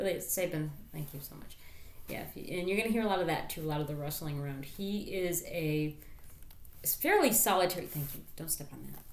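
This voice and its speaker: A woman with a fairly low pitch and ordinary pitch variation speaks at a fairly quick pace, her loudness swinging widely. Noticeable background noise and audible room echo are present. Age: 30s. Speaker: YouTuber and streamer. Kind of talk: casual vlog. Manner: distracted, interrupting self.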